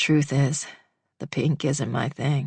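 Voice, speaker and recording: This is a put-on character voice, raspy in texture. It sits at a low-to-middle pitch. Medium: read story. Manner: dry, understated humor.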